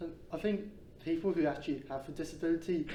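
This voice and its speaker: The voice has a dark, mellow tone and a fairly quick pace, with audible room echo. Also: man. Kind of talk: interview. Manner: stutters at times.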